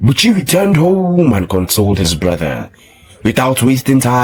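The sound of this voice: Reading in an unforced voice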